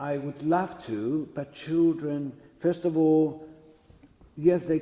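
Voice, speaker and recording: Very slow and dark, mellow in tone, the voice comes with a Greek Cypriot accent. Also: man. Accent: Greek Cypriot, noticeable. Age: 70s. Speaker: church chanter. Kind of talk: oral history interview. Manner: halting.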